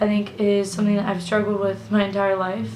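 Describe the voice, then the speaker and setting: Music plays in the background and audible room echo fills the space. A woman talks at a fairly quick pace and a medium pitch. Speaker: YouTuber vlogger. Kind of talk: casual to-camera vlog. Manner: hesitant, many fillers.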